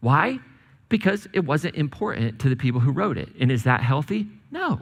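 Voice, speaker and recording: A man's fairly high, somewhat breathy voice with very wide pitch swings. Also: moderate pace. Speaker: pastor. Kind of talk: sermon to a congregation. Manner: conversational, humorous.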